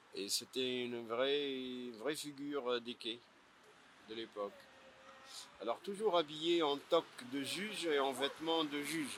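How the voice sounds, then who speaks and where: A man with a fairly high pitch speaks very slowly, with long, frequent pauses. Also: ordinary pitch variation. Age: 60s. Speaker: bookseller. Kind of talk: interview. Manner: halting, many hesitations.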